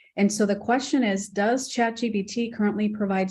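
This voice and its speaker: With a Spanish accent, a woman talks at a moderate pace. Her intonation is fairly even. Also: quiet background. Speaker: program host and moderator. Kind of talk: Q&A moderation.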